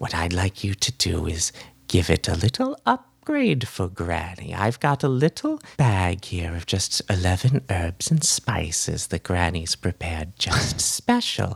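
Someone uses a low-pitched put-on character voice at a fairly slow pace, with hardly any pauses. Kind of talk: grandmotherly menace. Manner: sweet, wheedling, sinister.

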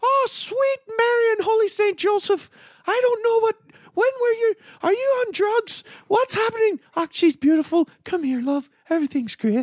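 At a moderate pace, someone performs a put-on character voice at an extremely high pitch. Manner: shocked, then warm.

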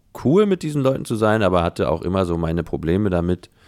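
Lively intonation from a man with a very deep, low pitch. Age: 30s. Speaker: composer and pianist. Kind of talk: casual interview conversation. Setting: Skype call. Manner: hesitant, many fillers.

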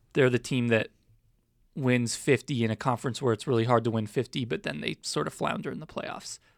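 A man speaks at a medium pitch. The sound is dry and close with no echo, on a very clean recording with a silent background. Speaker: sports beat writer. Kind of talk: casual chat. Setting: studio. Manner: trails off.

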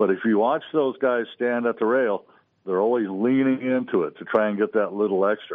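Delivered at a fairly quick pace with ordinary pitch variation, this is an unremarkable speaking voice. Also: man. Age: 60s. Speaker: fishing lure maker. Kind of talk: radio interview.

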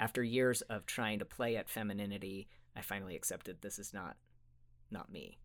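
In a very clean recording with a silent background, a man uses a normal speaking voice, fairly low in pitch with ordinary pitch variation, at a fairly quick pace. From Utah. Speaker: therapist. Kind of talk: interview. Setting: studio.

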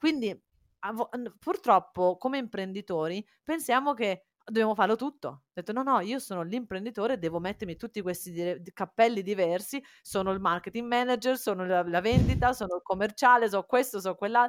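A cheerful woman at medium pitch with ordinary pitch variation and a fairly quick pace, in a dry, close sound with no echo. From Italy, born Cagliari, raised Faenza. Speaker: entrepreneur. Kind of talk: casual interview chat. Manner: halting, searches for Italian words; cheerful, laughs often.

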